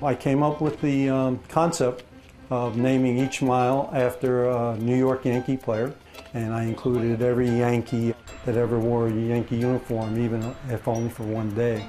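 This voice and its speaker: With music playing in the background, a man speaks at a moderate pace and medium pitch in a flat, monotone way. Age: 60s. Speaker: retired naval officer on a charity walk. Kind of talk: interview.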